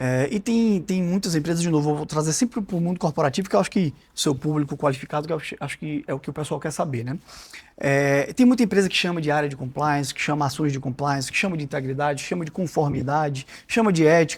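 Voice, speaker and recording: A man's fairly high, somewhat breathy voice at a very fast pace. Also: ordinary pitch variation. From Brazil, Salvador (Bahia). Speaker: corporate integrity executive, lawyer. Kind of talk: podcast interview. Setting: podcast studio.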